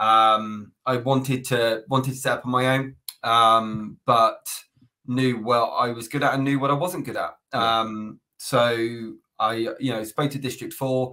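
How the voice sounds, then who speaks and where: The speaker goes at a fairly slow pace in a flat monotone over a quiet background. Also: man. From Plymouth, south-west England; south-west England. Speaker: recruitment agency founder; podcast guest. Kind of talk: casual interview. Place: home room.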